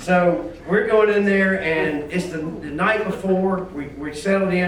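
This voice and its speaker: With noticeable background noise and audible room echo, a man speaks at a moderate pace in a high pitch with fairly even intonation. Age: 60s. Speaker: wholesale distribution businessman giving a eulogy. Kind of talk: memorial speech. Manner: halting, with many repetitions and fillers.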